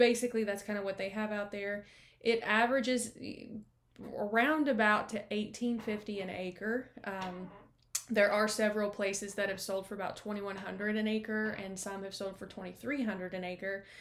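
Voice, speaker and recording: This woman has an unremarkable speaking voice with medium pitch. She talks at a moderate pace. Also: fairly even intonation. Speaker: real estate agent. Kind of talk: screen-share walkthrough of property comparables. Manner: casual, many fillers.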